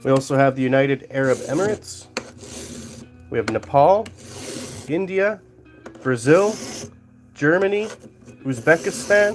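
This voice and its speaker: Over music in the background, someone with a Canadian accent speaks at a moderate pace with long, frequent pauses. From Canada. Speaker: livestreaming metalworker. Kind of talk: live stream chat while working. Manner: casual, joking.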